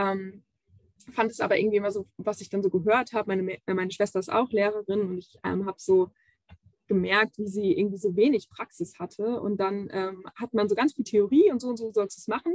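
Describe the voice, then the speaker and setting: Speaking at a fairly quick pace in a normal speaking voice, a woman uses ordinary pitch variation in a dry, close sound with no echo. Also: medium pitch for a woman. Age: 20s. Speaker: youth education officer. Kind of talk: interview.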